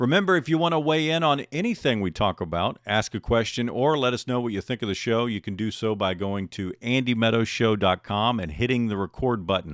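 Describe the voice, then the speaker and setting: A man with an American accent at medium pitch and moderate pace, with lively intonation, in a very clean recording with a silent background. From Texas. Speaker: podcast host. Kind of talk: casual chat. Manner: sounds like a broadcaster.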